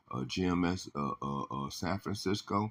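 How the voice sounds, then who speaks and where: A man speaks with vocal fry. His pitch varies in an ordinary way. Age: 60s. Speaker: religious teacher. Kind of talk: religious lesson. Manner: halting, many fillers.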